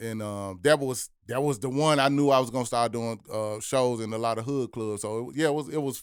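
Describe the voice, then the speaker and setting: With an American accent, a man speaks fairly quickly with hardly any pauses in an ordinary speaking voice at medium pitch and ordinary pitch variation, on a very clean recording with a silent background. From Memphis, Tennessee, US South. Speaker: rapper and producer. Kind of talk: podcast interview.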